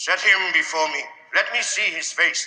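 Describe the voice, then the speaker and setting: A put-on character voice at a moderate pace, with a clear echo. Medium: stage play. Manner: commanding.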